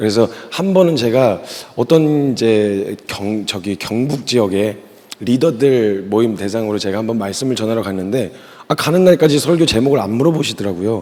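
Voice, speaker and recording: Over noticeable background noise, a man speaks at a moderate pace in an animated tone with lively intonation. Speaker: missionary preacher. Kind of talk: sermon. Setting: church youth retreat service.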